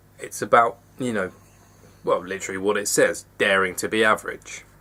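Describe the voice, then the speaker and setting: A man speaks with an English accent in a bright, sharp tone. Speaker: vlogger. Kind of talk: personal confessional vlog. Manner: fast; halting.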